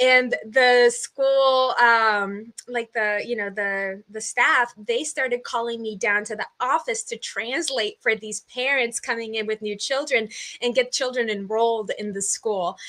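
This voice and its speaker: A woman with a Portuguese accent speaks fairly slowly but with hardly any pauses. Her voice is fairly high, bright and sharp, with fairly even intonation. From US Northeast (southern New Hampshire), born in Brazil. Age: 20s. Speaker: podcast guest, community builder. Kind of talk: interview conversation. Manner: hesitant, many fillers.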